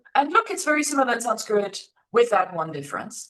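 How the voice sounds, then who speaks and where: A woman speaks with a German accent. Her pitch swings very widely. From Germany. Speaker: Sanskrit scholar and teacher. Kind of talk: interview conversation. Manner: hesitant, many fillers.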